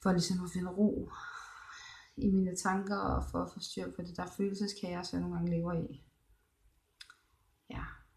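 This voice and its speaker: Audible room echo surrounds a woman who speaks with long, frequent pauses. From Denmark, Thy in northwest Jutland. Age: 20s. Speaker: video blogger. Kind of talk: personal vlog, casual monologue. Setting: hospital room, psychiatric ward. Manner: halting, many pauses and fillers.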